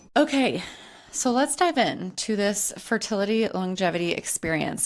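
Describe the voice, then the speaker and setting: On a very clean recording with a silent background, a woman with a plain, everyday voice talks at a fairly slow pace with ordinary pitch variation. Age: 30s. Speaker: podcast host and hormone health coach. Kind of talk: casual solo podcast monologue. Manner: conversational, with fillers and restarts.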